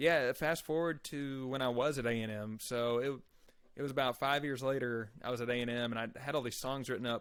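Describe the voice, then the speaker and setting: A man talks at a fairly quick pace in a Texan accent, with fairly even intonation. The recording is very clean, with a silent background. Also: medium pitch for a man. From Texas Panhandle, Amarillo. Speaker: country-rock musician. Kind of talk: interview.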